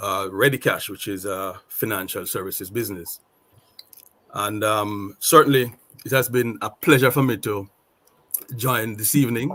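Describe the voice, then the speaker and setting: Speaking in a Jamaican accent, a man of medium pitch has a bright, sharp tone. He goes at a moderate pace with long, frequent pauses. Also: ordinary pitch variation. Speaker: retail sales manager. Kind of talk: panel discussion.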